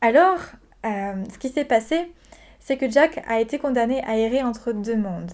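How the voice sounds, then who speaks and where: A woman speaks at a moderate pace in a fairly high pitch with ordinary variation. The recording is very clean, with a silent background. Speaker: spirituality vlogger. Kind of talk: informative video talk. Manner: hesitant, many fillers.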